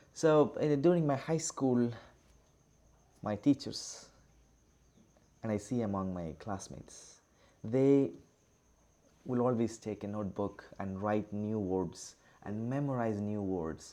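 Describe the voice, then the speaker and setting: A man with an Indian accent, fairly low in pitch with a dark, mellow tone, lively intonation, a very slow pace, and long, frequent pauses. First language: Indian language, not English. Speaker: teacher. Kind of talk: online lecture. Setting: online class with screen share. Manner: halting, with many fillers.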